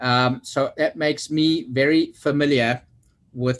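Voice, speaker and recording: A man with a South African accent. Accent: South African, remarked on by self. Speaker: oversight committee member, construction executive. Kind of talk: meeting self-introduction.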